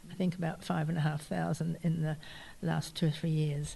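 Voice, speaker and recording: A woman speaks in a fairly low, somewhat breathy voice with a dark, mellow tone. Her intonation is monotone and flat. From New Zealand, early childhood in Yorkshire, England. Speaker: artist and gardener. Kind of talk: interview.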